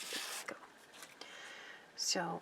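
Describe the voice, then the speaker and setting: A woman is whispering. Her pace is fairly slow. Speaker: sewing pattern-making teacher. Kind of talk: tutorial.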